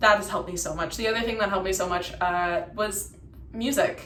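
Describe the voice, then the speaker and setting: Audible room echo surrounds a woman talking at a fairly quick pace, her medium pitch held in fairly even intonation. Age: 20s. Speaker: vlogger sharing personal story. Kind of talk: personal testimony monologue. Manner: reflective, with hesitations.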